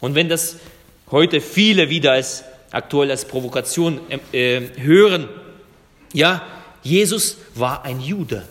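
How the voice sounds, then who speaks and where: Over noticeable background noise, a man with a Russian accent speaks very slowly in a fairly high voice, pausing long and often. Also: ordinary pitch variation. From Germany, came from Russia as a child. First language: Russian (speaking German). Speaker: pastor. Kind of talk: sermon.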